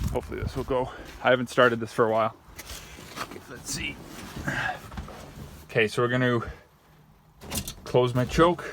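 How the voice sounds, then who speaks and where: Over noticeable background noise, a man with a medium-pitched voice and ordinary pitch variation talks at a fairly quick pace, broken by long, frequent pauses. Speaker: car hobbyist filming a repair. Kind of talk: casual hands-on vlog narration. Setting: outdoors. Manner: loud.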